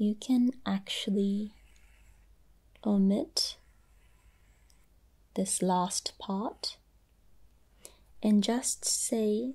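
A soft-spoken, somewhat breathy woman with a dark, mellow, gentle tone, ordinary pitch variation and a very slow pace full of long, frequent pauses, over a quiet background. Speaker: language teacher. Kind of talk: tutorial. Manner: soft-spoken, gentle ASMR voice. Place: home room. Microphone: phone near.

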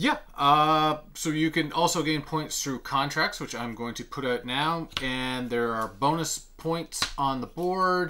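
A man speaks at a fairly slow pace in a bright, sharp tone, with ordinary pitch variation over light background noise. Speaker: board game reviewer. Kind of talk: tutorial. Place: home room.

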